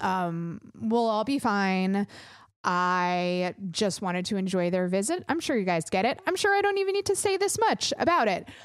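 A woman speaks at a moderate pace and medium pitch, her tone animated. Her intonation is lively while her loudness stays very even. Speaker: podcast host. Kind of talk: casual chat. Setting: home studio, recorded remotely.

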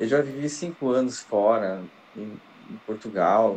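A man speaks at a fairly slow pace in an ordinary speaking voice, with ordinary pitch variation. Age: 40s. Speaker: podcast co-host. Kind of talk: casual chat.

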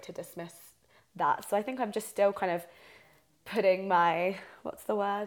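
A woman with a southern English accent talks at a fairly quick pace with fairly even intonation. The recording is very clean, with a silent background. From southeast England. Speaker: podcast co-host, drama student. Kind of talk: casual chat. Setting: friend's living room.

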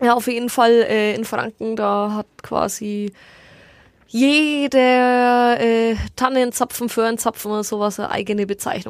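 Speaking at a fairly slow pace, a woman uses fairly even intonation at a fairly high pitch. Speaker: podcast co-host. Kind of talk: casual chat.

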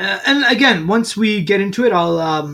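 Moderate pace, with a Californian accent. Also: very clean recording, silent background. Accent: California-sounding English. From Saudi Arabia. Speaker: podcast co-host. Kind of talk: casual chat.

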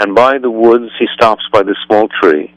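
Fairly even intonation runs through this plain reading aloud.

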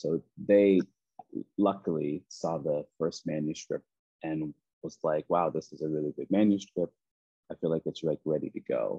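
In a Nova Scotian accent, a man speaks at a moderate pace with a very deep, low pitch and long, frequent pauses. His tone is dark and mellow, his intonation fairly even, and the sound is dry and close with no echo. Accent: Canadian (Nova Scotian). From Nova Scotia, Canada (Preston). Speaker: children's author and basketball coach. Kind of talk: casual interview.

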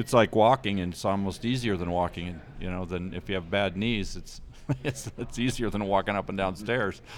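At a fairly quick pace, a plain, everyday voice carries ordinary pitch variation. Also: man, fairly low pitch for a man. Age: 60s. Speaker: ski instructor coach. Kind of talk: casual interview.

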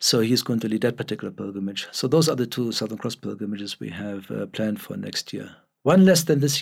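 Speaking very fast with lively intonation and vocal fry, a man is heard in a very clean recording with a silent background. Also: medium pitch for a man. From Germany. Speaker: newspaper editor and pilgrimage leader. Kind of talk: interview.

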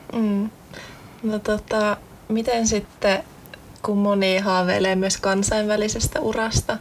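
A woman's medium-pitched voice, monotone with flat intonation, over noticeable background noise. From Central Finland, near Jyväskylä. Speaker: student podcast host. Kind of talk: casual chat. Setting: studio.

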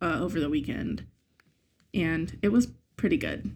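At a moderate pace, a woman speaks somewhat breathily with very wide pitch swings. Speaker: podcast co-host. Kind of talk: casual chat.

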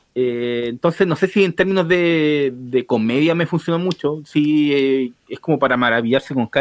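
A man with a Chilean accent, a fairly high pitch, ordinary pitch variation and a moderate pace. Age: 30s. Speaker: film podcast panelist. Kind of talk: casual chat.

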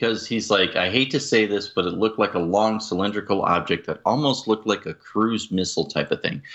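In an ordinary speaking voice with ordinary pitch variation, the speaker moves at a fairly quick pace with hardly any pauses. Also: man, fairly low pitch for a man. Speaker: podcast co-host. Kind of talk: casual discussion.

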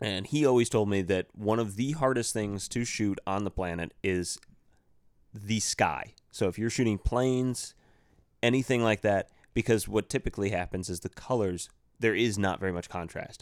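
Over a silent background in a very clean recording, a man with an unremarkable speaking voice talks at a moderate pace, fairly low in pitch with ordinary pitch variation. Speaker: podcast co-host and producer. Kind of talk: casual chat.

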